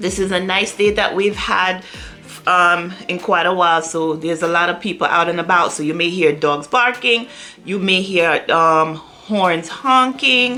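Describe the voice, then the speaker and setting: Amid audible room echo, a woman with a Jamaican accent speaks fairly slowly at a fairly low pitch, with ordinary pitch variation. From Jamaica, moved to US at ten. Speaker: YouTuber. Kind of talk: casual vlog Q&A. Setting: home, on a sofa.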